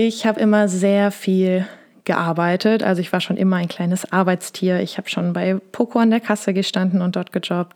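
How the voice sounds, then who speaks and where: A woman's medium-pitched voice comes through in a monotone, flat way at a moderate pace, the sound dry and close with no echo. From Lower Rhine / Ruhr area, Germany. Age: 20s. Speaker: podcast host and business mentor. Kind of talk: casual solo podcast monologue.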